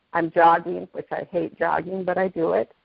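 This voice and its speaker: This woman has a plain, everyday voice, pitched fairly low. Her pace is moderate. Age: 50s. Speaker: product user sharing testimony. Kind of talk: testimony.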